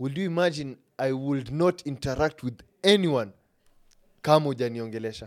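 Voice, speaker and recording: A man with a Kenyan accent and a fairly high pitch speaks at a moderate pace with ordinary pitch variation. He leaves long, frequent pauses, and the recording is very clean, with a silent background. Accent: Kenyan English, Sheng code-switching. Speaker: podcast host. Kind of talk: casual interview chat.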